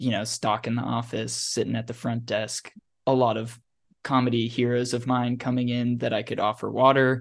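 A man at medium pitch and moderate pace, monotone and flat in intonation, over a quiet background. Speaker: writers assistant. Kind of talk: casual interview chat.

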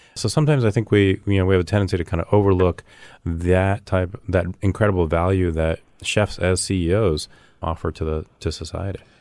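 A man with an American accent and a very deep, low pitch, ordinary pitch variation, a fairly quick pace, and a very clean recording with a silent background. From US. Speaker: immigration advocacy director. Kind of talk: casual chat.

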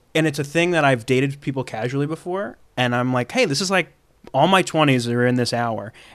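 It is an unremarkable speaking voice with ordinary pitch variation. The pace is fairly quick. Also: man, fairly high pitch for a man. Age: 30s. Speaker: comedian. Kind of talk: casual chat.

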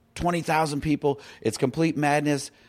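A man speaks at a fairly high pitch in a normal speaking voice. The recording is very clean, with a silent background. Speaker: filmmaker. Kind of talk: casual chat.

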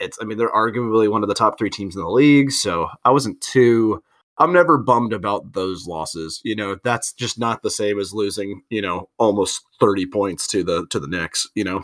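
An unremarkable speaking voice from a man, fairly low in pitch with ordinary variation, at a moderate pace with hardly any pauses, dry and close with no echo, over a very clean recording with a silent background. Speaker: basketball podcast host. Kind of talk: casual chat. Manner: jokey.

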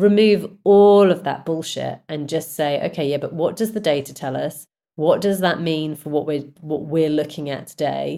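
With a British accent, a woman speaks at a very deep, low pitch and a moderate pace, her dark, mellow tone showing ordinary pitch variation. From Britain. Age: 40s. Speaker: music and film company executive. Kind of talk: interview.

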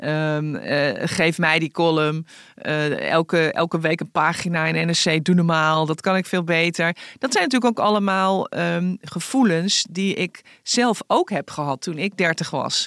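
A woman speaks at a fairly slow pace in a plain, everyday voice, her pitch fairly low with ordinary variation. The recording is very clean and silent behind her, with a dry, close sound and no echo. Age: 50s. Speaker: newspaper columnist and podcast host. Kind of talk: casual chat.

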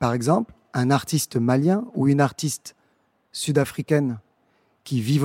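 A man with a fairly high pitch and a dark, mellow tone, talking at a fairly slow pace with ordinary pitch variation, in a dry, close sound with no echo and a very clean recording with a silent background. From Senegal, Dakar. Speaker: arts programmer and founder of a cultural agency. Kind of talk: interview monologue for an audio guide. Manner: hesitant, with fillers and repetitions.

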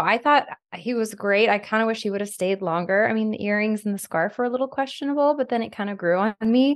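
A woman with a plain, everyday voice speaks fairly quickly, her fairly high pitch moving in lively intonation. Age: 40s. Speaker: reality TV personality and podcast host. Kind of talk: casual chat.

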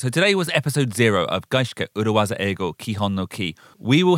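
This very clean recording with a silent background captures a man whose pitch swings very widely. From London, UK. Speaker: podcast host. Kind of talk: casual chat; scripted narration.

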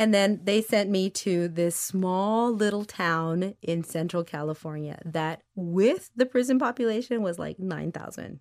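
A woman speaks at a fairly slow pace with hardly any pauses and ordinary pitch variation. The recording is very clean, with a silent background. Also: medium pitch for a woman. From Michigan, Mexican-American migrant family roots in South Texas. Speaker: school food services director. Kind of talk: casual interview. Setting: in person in Boston. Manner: halting, repeats words.

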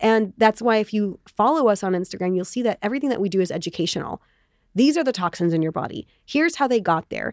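A woman's medium-pitched, very fast speech with lively intonation, on a very clean recording with a silent background. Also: dry, close sound with no echo. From Israel. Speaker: entrepreneur. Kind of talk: interview.

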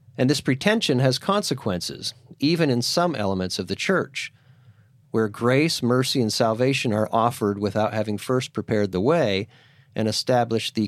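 With an American accent and an unremarkable speaking voice, a man talks in lively intonation on a very clean recording with a silent background. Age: 50s. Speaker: podcast host and teacher. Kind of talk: scripted monologue; classroom discussion.

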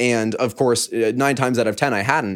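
A man speaks at medium pitch in an ordinary speaking voice. His pace is fairly quick, and the recording is very clean with a silent background. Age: young (19). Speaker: YouTuber and online creator. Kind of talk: casual chat.

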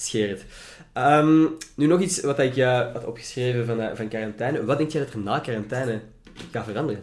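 Speaking at a moderate pace, a man with a Flemish accent has a medium pitch and ordinary pitch variation. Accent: Flemish Dutch. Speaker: podcast host and student. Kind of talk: casual chat. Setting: home recording in student room.

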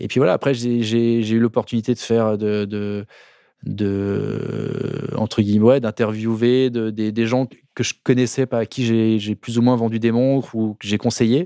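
Over a silent background in a very clean recording, a man speaks at a fairly slow pace in a dark, mellow tone, flat and monotone, with a dry, close sound and no echo. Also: medium pitch for a man. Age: 40s. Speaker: watch expert and video creator. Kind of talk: casual chat. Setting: studio. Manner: halting.

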